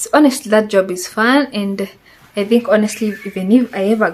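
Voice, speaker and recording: With a Kenyan accent, a woman speaks in a fairly even intonation over noticeable background noise. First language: Swahili. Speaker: vlogger. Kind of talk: casual chat.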